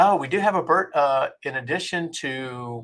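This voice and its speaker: On a very clean recording with a silent background, a man with an American accent and an unremarkable speaking voice talks at fairly high pitch with ordinary pitch variation. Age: 60s. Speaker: livestream host. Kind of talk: casual chat.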